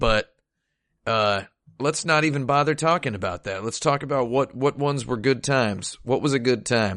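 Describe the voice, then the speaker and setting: In a normal speaking voice, a man talks at a moderate pace and medium pitch, with ordinary pitch variation against a quiet background. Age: 30s. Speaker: video game podcast host. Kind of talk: casual chat.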